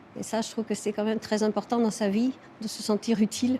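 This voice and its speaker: A woman speaks at a fairly quick pace in a fairly high pitch with monotone, flat intonation. Noticeable background noise runs underneath. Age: 70s. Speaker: volunteer hospital librarian. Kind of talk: testimony.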